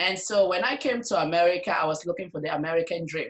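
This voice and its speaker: With ordinary pitch variation, a woman talks at a fairly quick pace in a fairly low pitch. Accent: African. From Africa. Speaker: nurse and network marketer. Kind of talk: interview.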